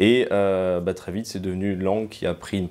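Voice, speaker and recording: Talking at a fairly quick pace, the man has a very deep, low pitch and a monotone, flat intonation. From France, Alsace (Strasbourg area). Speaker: museum cultural mediator and translator. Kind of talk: interview testimony. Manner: hesitant, many fillers.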